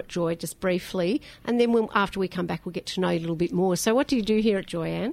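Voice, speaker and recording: With an Australian accent, a woman speaks with lively intonation. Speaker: radio host. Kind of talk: casual chat. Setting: studio.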